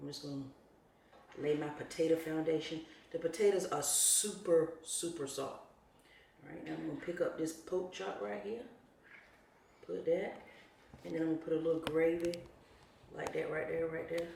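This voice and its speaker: With audible room echo, a woman in an American accent speaks at a moderate pace with a fairly low pitch, ordinary pitch variation and long, frequent pauses. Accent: country, proud of it. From North Carolina. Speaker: home cook, channel host. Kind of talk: cooking tutorial. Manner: casual, chatty.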